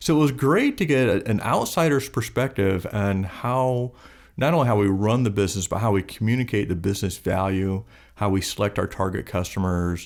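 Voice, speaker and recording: A man's ordinary speaking voice, fairly low in pitch with ordinary pitch variation and very even loudness, at a fairly quick pace on a very clean recording with a silent background. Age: 60s. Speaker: business owner. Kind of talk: interview conversation.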